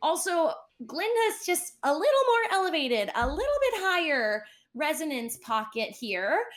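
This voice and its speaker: An extremely high-pitched woman's voice with a West Coast US accent, animated in tone, with very wide pitch swings and very even loudness. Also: moderate pace. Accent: General American, West Coast. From Southern California. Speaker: musical theatre actress. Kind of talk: podcast interview.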